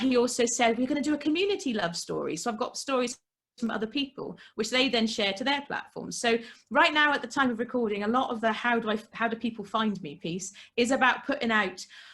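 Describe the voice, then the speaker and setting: A woman with a British accent talks loudly at a very fast pace. Her high voice has an animated tone and ordinary pitch variation. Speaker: entrepreneur and podcast guest. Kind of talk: casual interview.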